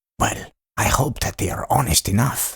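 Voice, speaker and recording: Using a put-on character voice, a man speaks at a medium pitch and a moderate pace with a raspy sound. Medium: read story. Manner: hesitant, fretful.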